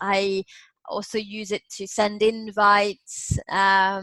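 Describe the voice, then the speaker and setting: The voice has an English Midlands accent and a bright, sharp tone with monotone, flat intonation. The sound is dry and close, with no echo. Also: woman. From Nottingham, England. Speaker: business English coach. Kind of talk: interview answer.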